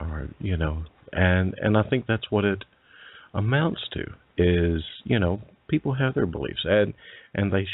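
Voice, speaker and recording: A man with an Alabama accent, fairly low-pitched and fairly slow, with lively intonation. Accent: Southern US (Alabama). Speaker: paranormal radio show host. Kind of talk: interview. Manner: halting, many fillers and repetitions.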